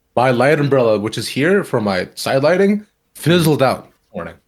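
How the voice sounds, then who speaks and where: A man speaks loudly in an animated tone at a moderate pace. The recording is very clean with a silent background. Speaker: esports personality. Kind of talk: casual chat.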